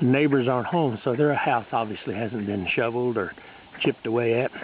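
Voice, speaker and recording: Noticeable background noise behind a man's fairly quick, medium-pitched speech of ordinary pitch variation. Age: 60s. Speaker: amateur video maker. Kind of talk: casual video narration. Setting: outdoors.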